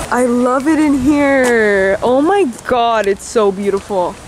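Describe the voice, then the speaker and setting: A woman talks over noticeable background noise. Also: dry sound with no echo. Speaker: travel vlogger. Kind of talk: casual vlog chat. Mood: excited, awed. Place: garden. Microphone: phone near.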